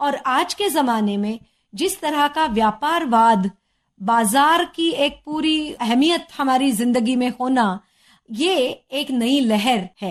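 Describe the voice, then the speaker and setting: A woman with a Marathi accent speaks in a high voice on a very clean recording with a silent background. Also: lively intonation. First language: Marathi (speaking Hindi). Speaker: sociology professor. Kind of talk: educational interview. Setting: studio. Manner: formal, explanatory.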